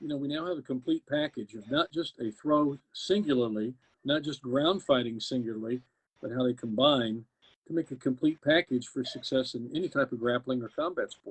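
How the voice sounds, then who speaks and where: He talks fairly quickly in a normal speaking voice. This man's pitch is fairly high, with ordinary variation. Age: 60s. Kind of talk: interview. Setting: live video stream.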